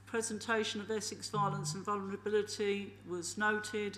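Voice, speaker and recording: A woman speaks at a moderate pace. The room echo is audible. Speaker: committee chair. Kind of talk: council meeting chairing. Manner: loud.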